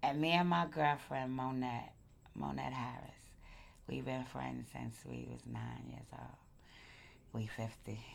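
Speaking at a fairly slow pace with an American accent, a woman leaves long, frequent pauses while her loudness swings widely and the room echoes audibly. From Brooklyn, New York (Crown Heights). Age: 50s. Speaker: longtime Brooklyn resident sharing life story. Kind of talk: oral history interview. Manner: conversational, with frequent hesitations.

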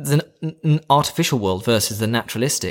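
Over a silent background in a very clean recording, a man talks at a moderate pace with lively intonation in a plain, everyday voice. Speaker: podcast co-host. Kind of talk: casual chat.

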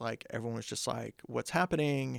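Speaking fairly quickly with a US Midwestern accent, a man shows vocal fry in a dry, close sound with no echo. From southeast Kansas (Coffeyville). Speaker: political science professor. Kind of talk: casual interview. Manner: animated.

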